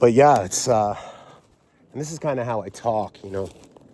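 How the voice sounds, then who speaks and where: A man mumbles. He has an American accent. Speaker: vlogger. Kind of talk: casual monologue. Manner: mumbling; halting, many fillers.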